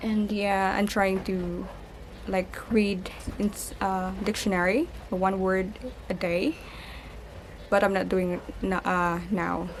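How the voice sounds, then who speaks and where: A woman with a Filipino accent speaks very slowly at a medium pitch, in a monotone, flat intonation, with long, frequent pauses. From Philippines. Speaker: lifestyle vlogger. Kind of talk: casual vlog. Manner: halting.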